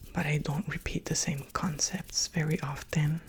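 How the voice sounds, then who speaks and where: Whispering softly, a man speaks in a gentle tone against noticeable background noise. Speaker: ASMR creator. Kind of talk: ASMR whispered talk. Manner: soft whisper-talking; slow, gentle.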